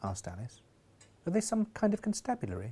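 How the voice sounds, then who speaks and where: A man talks at a very fast pace, his pitch swinging very widely. His voice is somewhat breathy. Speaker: comedian and audiobook reader. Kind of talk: comic audiobook reading with character voices.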